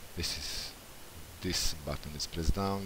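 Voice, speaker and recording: At a moderate pace, a speaker with a non-native accent talks with fairly even intonation. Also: man. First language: not English. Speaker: software developer. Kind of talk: tutorial. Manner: halting.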